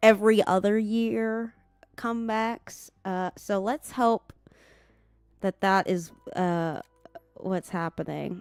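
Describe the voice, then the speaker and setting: Recorded with a dry, close sound and no echo, a woman speaks at a very slow pace with fairly even intonation and long, frequent pauses. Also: medium pitch for a woman. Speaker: gaming streamer. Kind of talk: casual live stream chat. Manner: casual, halting with fillers.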